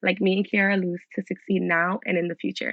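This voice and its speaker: A woman's fairly quick, medium-pitched speech with vocal fry and an American accent. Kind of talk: scripted speech. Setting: virtual event.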